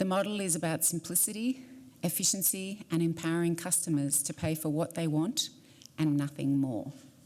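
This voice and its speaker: With an Australian accent, a woman speaks at a fairly low pitch. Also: ordinary pitch variation, moderate pace. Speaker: airline executive. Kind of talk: prepared statement.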